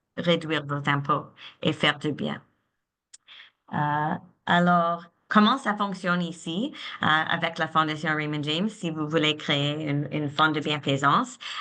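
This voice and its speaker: Against a quiet background, a woman with a non-native accent speaks very slowly in a fairly low pitch, her tone bright and sharp. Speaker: philanthropy advisor. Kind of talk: webinar presentation. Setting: online webinar. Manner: halting, many repetitions.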